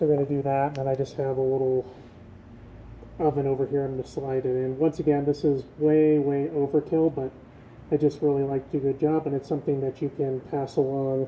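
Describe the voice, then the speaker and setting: This man's voice is fairly high and monotone, with flat intonation. He moves at a fairly quick pace. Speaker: DIY mechanic video host. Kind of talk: tutorial. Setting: home workshop. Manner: casual, with many fillers.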